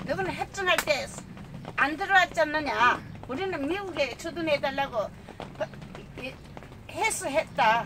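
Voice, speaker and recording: Over noticeable background noise, a woman uses a raised, projected voice with a high pitch and lively intonation. She moves at a fairly slow pace with long, frequent pauses. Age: 80s+. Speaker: retired army major. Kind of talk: interview answer.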